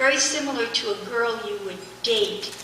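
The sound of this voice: Soft-spoken, a woman talks at a moderate pace with a fairly high pitch, ordinary pitch variation and a bright, sharp tone, with audible room echo around her.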